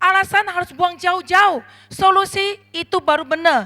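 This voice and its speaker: In a raised, projected voice with a non-native accent, the speaker sounds animated, with a bright, sharp tone and ordinary pitch variation, recorded dry and close with no echo. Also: woman. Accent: non-native Indonesian. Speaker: network marketing leader. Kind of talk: motivational speech.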